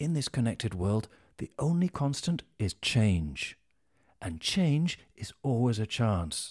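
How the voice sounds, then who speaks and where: Over a quiet background, a man in a British accent speaks very slowly and somewhat breathily, his pitch swinging very widely. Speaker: voice actor. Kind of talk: corporate narration. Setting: studio. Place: studio.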